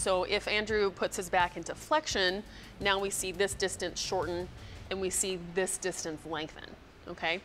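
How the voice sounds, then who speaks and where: The speaker talks at a moderate pace with fairly even intonation while music plays in the background. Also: woman. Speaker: fitness coach. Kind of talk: tutorial. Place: gym. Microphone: lapel.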